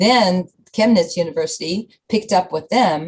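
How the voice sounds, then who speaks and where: Somewhat breathy, a woman speaks at a fairly slow pace with lively intonation. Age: 60s. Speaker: fitness program founder. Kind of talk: radio interview.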